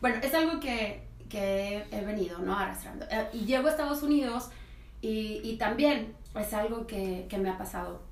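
Over noticeable background noise, a woman speaks in a fairly high pitch. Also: ordinary pitch variation, moderate pace. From Mexico, Colima. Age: 30s. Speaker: podcast guest. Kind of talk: casual chat.

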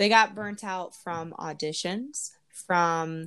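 A woman's fairly low, a plain, everyday voice at a fairly slow pace, with ordinary pitch variation, on a very clean recording with a silent background. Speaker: opera singer and podcast host. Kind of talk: casual interview chat.

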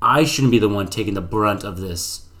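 A man's voice comes with audible room echo. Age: 20s. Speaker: fitness podcast co-host. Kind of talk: casual chat.

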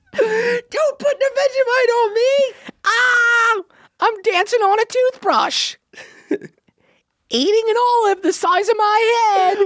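A woman's squeaky, extremely high-pitched put-on character voice, fairly slow with long, frequent pauses and ordinary pitch variation.

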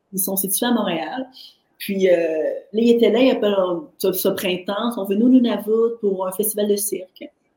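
With a normal speaking voice, a woman talks fairly slowly at a medium pitch with ordinary pitch variation. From Haitian heritage, French Canada. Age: 40s. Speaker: artist and entrepreneur. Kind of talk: interview.

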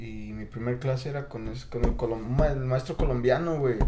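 With audible room echo and noticeable background noise, a man speaks at a moderate pace in a medium pitch, his intonation fairly even. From Mexico City area. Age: 30s. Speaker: guest. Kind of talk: casual chat.

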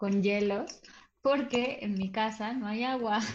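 There is audible room echo around a woman's voice. She has a fairly high pitch with ordinary pitch variation. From Mexico City. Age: 20s. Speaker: theatre director and cultural manager. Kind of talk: casual chat.

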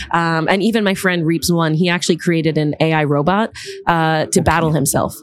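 A woman talks fairly quickly in a New York accent at a fairly low pitch. Her loudness stays very even and her intonation fairly even. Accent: New York American. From US, Long Island, New York. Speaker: beatboxer and educator. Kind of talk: casual interview.

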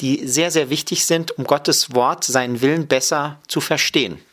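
Speaking at a fairly slow pace, a man has a plain, everyday voice. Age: 30s. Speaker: Bible college lecturer and dean of students. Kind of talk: radio interview.

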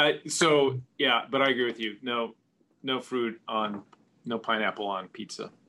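This man has an unremarkable speaking voice at medium pitch. He talks at a fairly slow pace with fairly even intonation. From US Pacific Northwest, Seattle area. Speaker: golf travel advisor. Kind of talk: casual chat.

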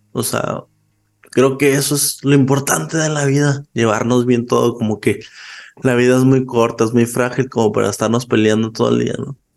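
This man talks at a moderate pace in a medium pitch, with fairly even intonation. It is a normal speaking voice. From Chihuahua, northern Mexico. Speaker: podcaster and film subtitler. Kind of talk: casual chat.

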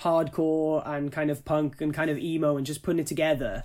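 A man with a Welsh accent, a fairly high pitch, a dark, mellow tone and a moderate pace. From Wales. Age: young. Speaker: musician. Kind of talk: casual chat.

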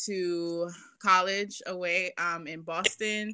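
Speaking with a New York accent, a woman uses a bright, sharp tone at a fairly low pitch. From Brooklyn, New York. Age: 20s. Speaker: violinist and personal finance educator. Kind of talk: casual interview.

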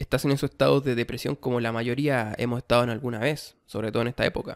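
A man speaks with a Chilean accent at a fairly quick pace. His medium-pitched voice has fairly even intonation, and the sound is dry and close with no echo. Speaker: podcast host. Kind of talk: self-help monologue.

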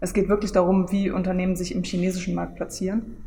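A woman's medium-pitched voice comes across monotone and flat, with audible room echo. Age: 20s. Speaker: online marketing lecturer. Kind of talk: casual interview, book presentation. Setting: coworking space in front of a camera.

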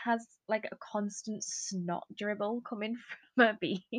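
The sound is dry and close with no echo as a woman with a British accent speaks at a fairly slow pace. Her pitch is fairly high, with ordinary pitch variation. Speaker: trainee primary school teacher. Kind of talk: casual chat.

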